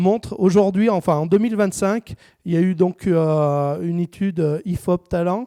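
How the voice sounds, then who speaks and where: Heard in a dry, close recording with no echo, a man with a dark, mellow tone and high pitch talks at a moderate pace with ordinary pitch variation. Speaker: training center director giving a talk. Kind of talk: conference talk. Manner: hesitant, many filler words.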